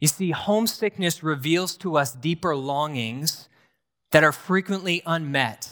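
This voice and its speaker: An unremarkable speaking voice from a man with an American accent, fairly high pitch, lively intonation and a fairly slow pace, in a very clean recording with a silent background. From US Northeast, rural New Hampshire. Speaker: pastor in training. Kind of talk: sermon. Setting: church.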